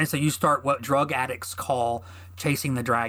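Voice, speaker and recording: A man at a moderate pace with lively intonation. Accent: American. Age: 40s. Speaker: podcast host and army veteran. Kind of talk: personal monologue. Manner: halting.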